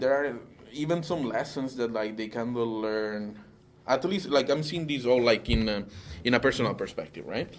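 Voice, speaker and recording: Speaking with a non-native accent, a man keeps a moderate pace. His medium pitch shows ordinary variation. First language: Italian. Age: 30s. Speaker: interviewee. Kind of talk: interview. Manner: halting.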